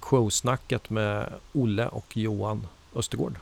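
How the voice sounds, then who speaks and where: The man speaks at a very slow pace. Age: 40s. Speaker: podcast host. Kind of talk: casual chat.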